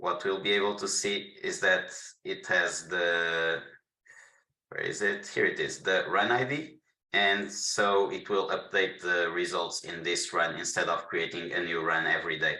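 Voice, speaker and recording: A man's fairly slow speech with audible room echo. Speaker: solution architect giving product demo. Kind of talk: webinar tutorial with Q&A. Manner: halting, repeats words.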